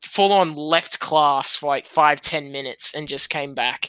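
A man with an Australian accent, fairly high in pitch and bright and sharp in tone, with fairly even intonation in a dry, close sound with no echo and a very clean recording over a silent background. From Sydney, Australia. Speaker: podcast guest.

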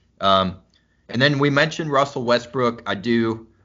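A man speaks at a moderate pace with ordinary pitch variation. He has a plain, everyday voice. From US Midwest (Missouri and Kansas). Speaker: sports podcast host. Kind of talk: casual chat.

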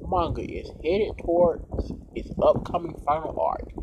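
Noticeable background noise behind a man talking fairly slowly. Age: 20s. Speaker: podcast host. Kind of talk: casual solo podcast with news reading. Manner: hesitant, frequent ums.

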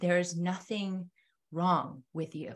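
A woman speaks somewhat breathily. Her pitch is medium. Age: 40s. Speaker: homeschool mom and Reiki practitioner. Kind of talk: interview conversation. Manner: energetic, laughing.

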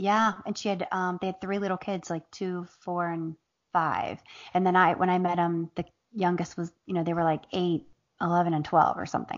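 Here a woman speaks at a medium pitch in a normal speaking voice. Her pace is fairly quick. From Southern Ohio, Appalachia. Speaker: author and comedian. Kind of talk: casual interview chat.

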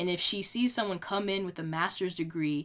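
A woman with an American accent, fairly low in pitch, with ordinary pitch variation, on a very clean recording with a silent background. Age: 20s. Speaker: podcast host. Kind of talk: solo podcast monologue with advice. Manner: animated, encouraging.

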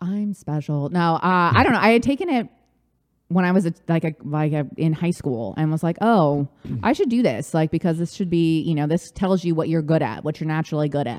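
A woman with a normal speaking voice and a fairly low pitch talks at a fairly quick pace. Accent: American. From Southern California, Orange County. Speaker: life coach. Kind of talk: casual chat.

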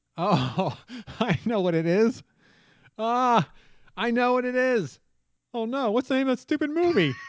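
This man's voice is extremely high in pitch, animated in tone, with lively intonation. He moves at a moderate pace but leaves long, frequent pauses. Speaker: podcast host. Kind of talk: game show banter. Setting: video call. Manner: animated, jokey.

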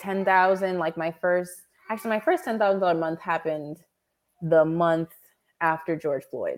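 Heard here is a normal speaking voice with ordinary pitch variation. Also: woman. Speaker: copywriter and entrepreneur. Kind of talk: interview.

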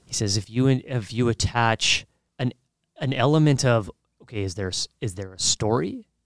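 Heard in a dry, close sound with no echo, a man with an unremarkable speaking voice speaks at a moderate pace with ordinary pitch variation. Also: medium pitch for a man, very clean recording, silent background. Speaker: podcast host. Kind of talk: casual interview conversation.

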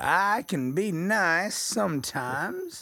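Speaking very slowly with an American accent and ordinary pitch variation, a man comes through on a very clean recording with a silent background. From Texas. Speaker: podcast co-host. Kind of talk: casual chat.

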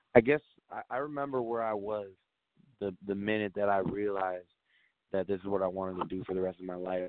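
Fairly low pitch from a man, at a moderate speed. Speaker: singer-songwriter. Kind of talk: interview. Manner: casual.

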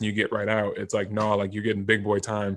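In a quiet background, a man with a Californian accent speaks at a fairly low pitch in a flat monotone. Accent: Californian American. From Southern California, Rancho Cucamonga. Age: 20s. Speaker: performance psychology trainer. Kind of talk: casual interview.

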